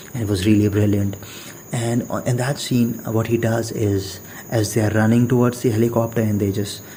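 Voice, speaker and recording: A man at a medium pitch, in a monotone, flat intonation, at a moderate pace, with noticeable background noise. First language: not English. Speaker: podcast host. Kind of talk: casual monologue. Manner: halting, many fillers and repetitions.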